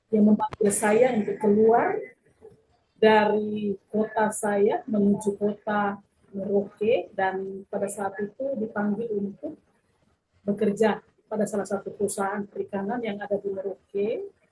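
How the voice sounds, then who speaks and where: At a fairly slow pace, a woman speaks in a monotone, flat way, her voice somewhat breathy and medium in pitch. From South Sulawesi, Bulukumba. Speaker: pastor. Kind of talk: testimony. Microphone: poor connection.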